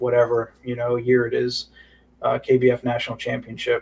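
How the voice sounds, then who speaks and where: A man's somewhat breathy voice moves at a fairly quick pace. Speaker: club director hosting a town hall livestream. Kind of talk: informal livestream town hall. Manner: fast; casual with many filler words.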